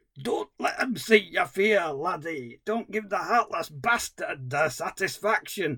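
In a put-on character voice with a Scottish accent, the speaker goes at a fairly slow pace. There are hardly any pauses. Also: man, high pitch for a man. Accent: Scottish, mocked as bad. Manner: mocking imitation.

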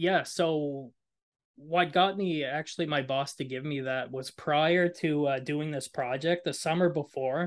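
A man with a fairly high pitch and fairly even intonation at a fairly slow pace, over a quiet background. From New Brunswick, Canada (Moncton). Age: 30s. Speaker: university student and nonprofit founder. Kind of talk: interview. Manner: hesitant, many fillers.

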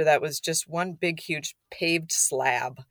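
On a very clean recording with a silent background, a woman with an Upper Midwest accent speaks in a fairly low voice. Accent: Upper Midwest American. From Minnesota. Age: 50s. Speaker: non-profit founder. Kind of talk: interview.

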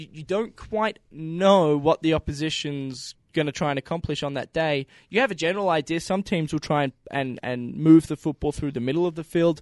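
The background is quiet and the sound is dry and close, with no echo. A man talks at a moderate pace with hardly any pauses. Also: ordinary pitch variation. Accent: Australian. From Victoria, Australia. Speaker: former college football punter. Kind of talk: casual chat.

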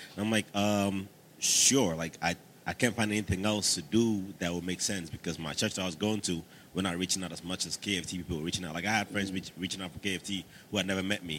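A man with an American accent speaks at a very fast pace. His pitch is very deep and low, with fairly even intonation. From Staten Island, New York. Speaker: church music team member, military veteran. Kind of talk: casual interview, testimony.

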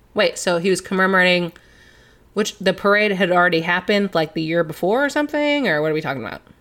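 A woman with an American accent, medium pitch, lively intonation and a very fast pace, in a very clean recording with a silent background. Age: 20s. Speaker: podcast co-host and office worker. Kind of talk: casual chat.

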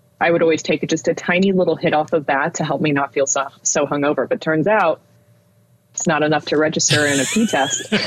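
Against noticeable background noise, a woman with a very deep, low pitch talks at a fairly quick pace, her loudness very even and her pitch variation ordinary. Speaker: podcast co-host. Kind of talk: casual chat. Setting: at home, child sleeping downstairs. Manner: quiet, holding back volume.

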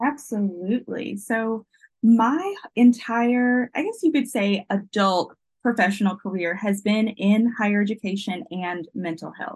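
A woman's fairly high, somewhat breathy voice at a fairly slow pace, with ordinary pitch variation. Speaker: keynote speaker, mental health professional. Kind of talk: casual interview chat. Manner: energetic, animated.

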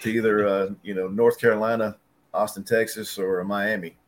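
A man talks in a Southern US accent with a fairly low pitch. His pace is moderate and his intonation fairly even. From West Tennessee, near Jackson. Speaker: paintless dent repair technician. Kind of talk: casual chat.

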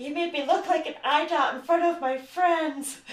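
In a put-on character voice, a female-sounding speaker uses a high pitch and a moderate pace. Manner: angry, indignant.

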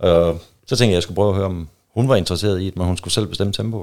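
A man talks at a very fast pace in a fairly low pitch with vocal fry. His pitch varies in an ordinary way. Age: 30s. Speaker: guest in swinger lifestyle. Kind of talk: casual chat.

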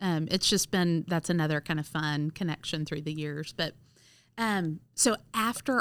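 With a Southern US accent, a woman talks at a moderate pace in a fairly low pitch with ordinary pitch variation, on a very clean recording with a silent background. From US South, Mississippi (Cleveland). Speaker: school nurse. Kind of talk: casual interview.

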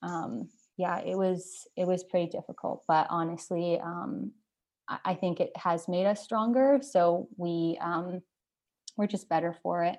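Speaking at a fairly slow pace with ordinary pitch variation, a woman with a Canadian accent and a fairly low pitch is heard against a quiet background. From Canada, northern Ontario (near Thunder Bay). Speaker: hockey player's girlfriend. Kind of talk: casual interview chat. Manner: loud.

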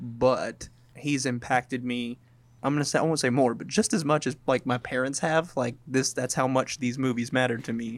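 Here is a man with a plain, everyday voice, medium in pitch, at a moderate pace with fairly even intonation. The recording is very clean, with a silent background. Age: 20s. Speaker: movie podcast co-host. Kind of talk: casual chat.

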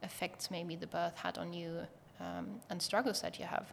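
A woman speaks at a moderate pace with a German accent. Her fairly low voice carries vocal fry. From Germany. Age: 20s. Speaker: pediatric nurse and startup co-founder. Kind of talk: interview.

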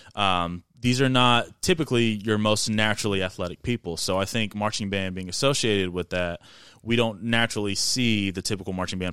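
A man's fairly low, bright, sharp voice with an American accent, at a fairly quick pace with hardly any pauses, ordinary pitch variation, and a very clean recording with a silent background. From Indiana, US Midwest. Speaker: band director and lifter. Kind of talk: casual chat.

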